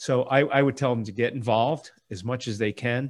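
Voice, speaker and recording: A man speaks at a moderate pace with an American accent, in a plain, everyday voice of medium pitch. His intonation is fairly even, and the recording is very clean with a silent background. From Florida. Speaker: landscape architect. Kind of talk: casual chat.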